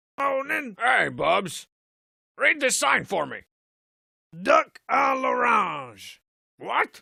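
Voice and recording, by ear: A man puts on a gruff, cartoonish character voice, raised and projected at an extremely high pitch with lively intonation. He goes at a very slow pace with long, frequent pauses.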